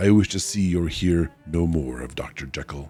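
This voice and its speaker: Using a put-on character voice, a man talks at a moderate pace in a very deep, low pitch with ordinary pitch variation while faint music plays in the background. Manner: loud, agitated.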